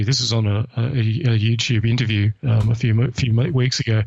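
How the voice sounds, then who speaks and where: A somewhat breathy man's voice at a medium pitch. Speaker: historian and atheist blogger. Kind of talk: interview.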